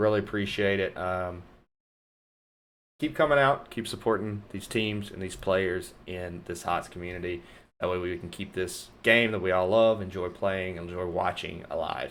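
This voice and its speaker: A man's very deep, low voice with an upbeat tone, a North Louisiana accent, ordinary pitch variation and a moderate pace. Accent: Southern US accent, North Louisiana. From US South, North Louisiana. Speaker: esports caster and streamer. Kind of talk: live stream commentary sign-off. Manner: casual, upbeat.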